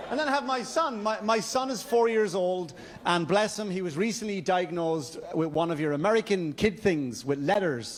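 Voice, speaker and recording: With an Irish accent and a high voice, a man talks at a moderate pace with lively intonation and hardly any pauses over noticeable background noise. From Ireland, County Wexford. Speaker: stand-up comedian. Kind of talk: stand-up. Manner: stammering repetitions.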